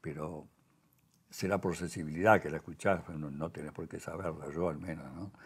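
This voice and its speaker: Here a man speaks with a Montevideo accent. He keeps a moderate pace. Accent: Rioplatense Spanish (Montevideo). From Uruguay. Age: 90s. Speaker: sculptor; interviewee. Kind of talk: casual chat. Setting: artist's workshop. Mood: calm, reflective. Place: workshop. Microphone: lapel.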